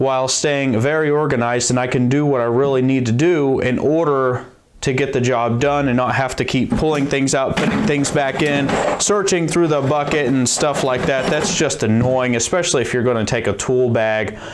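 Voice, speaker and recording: Noticeable background noise sits under speech at a moderate pace with very even loudness and fairly even intonation. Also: man. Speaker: DIY tool channel host. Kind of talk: tutorial intro, casual explanation. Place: workshop.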